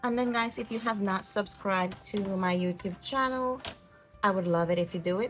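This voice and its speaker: Over music in the background, a woman with a non-native accent speaks at medium pitch and a moderate pace, her pitch varying in an ordinary way. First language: not English. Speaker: craft youtuber. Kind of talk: craft tutorial. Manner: casual, chatty.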